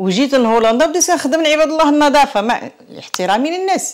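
The tone is animated. It belongs to a woman. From Morocco, Tangier; Morocco. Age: 60s. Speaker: author and immigrant; interviewee. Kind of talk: interview testimony. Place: home room. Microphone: lapel.

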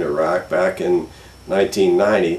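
Through audible room echo, a man speaks at a fairly slow pace. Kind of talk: interview answer. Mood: calm, reflective. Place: home room.

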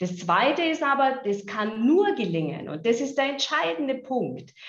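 Audible room echo surrounds a woman's voice, with a quiet background. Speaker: health insurance executive. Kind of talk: video interview. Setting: video call. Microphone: video call.

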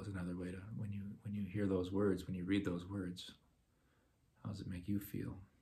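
A man talks at a fairly quick pace in a fairly low, somewhat breathy voice with a dark, mellow tone. His intonation is monotone and flat, his loudness swings widely, and light background noise sits behind him. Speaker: parish talk leader. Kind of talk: Lenten talk on prayer, with guided meditation. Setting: online video from home. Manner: hesitant, repeats words. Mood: calm, gentle. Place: home room. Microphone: phone near.

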